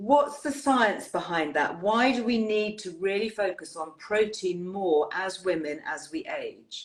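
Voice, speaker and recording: A woman with an English accent speaks at a fairly slow pace with hardly any pauses. Her medium pitch swings very widely. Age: 60s. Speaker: wellbeing show host. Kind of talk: live interview chat. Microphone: technical issues from bad weather.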